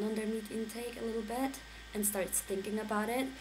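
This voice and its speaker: A woman's medium-pitched voice at a moderate pace, flat and monotone. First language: not English. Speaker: vlogger. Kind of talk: casual talk to camera.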